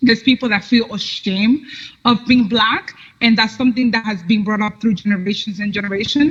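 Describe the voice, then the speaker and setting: Somewhat breathy, a woman talks at a fairly quick pace in a fairly high pitch with an American accent. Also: ordinary pitch variation. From New York City, Dominican parents. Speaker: political commentator. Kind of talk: interview chat.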